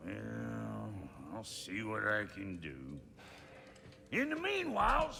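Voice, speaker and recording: Using a put-on character voice, a man leaves long, frequent pauses, with clear background noise behind him. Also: fairly slow pace. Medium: video game. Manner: crude, brusque.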